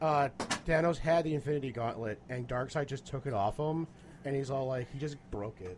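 This man has an unremarkable speaking voice pitched fairly high. He talks at a fairly quick pace with ordinary pitch variation. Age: 20s. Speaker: beer tasting podcast co-host. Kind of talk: casual chat.

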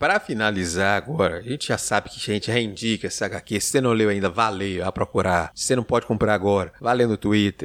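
A man speaks at a fairly quick pace and fairly low pitch, with ordinary pitch variation. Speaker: podcast host. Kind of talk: casual chat.

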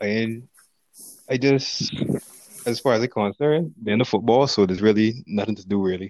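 A man with a Barbadian accent, medium in pitch with ordinary pitch variation, at a moderate pace broken by long, frequent pauses. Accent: Bajan (Barbadian). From Barbados, St. George. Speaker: footballer. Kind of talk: casual chat.

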